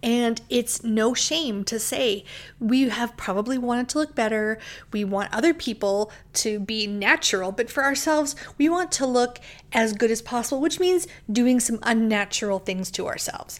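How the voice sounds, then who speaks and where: Speaking in a plain, everyday voice, a woman with a fairly high pitch delivers lively intonation at a moderate pace. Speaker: bookshop owner and podcast host. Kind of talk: casual chat, monologue and interview.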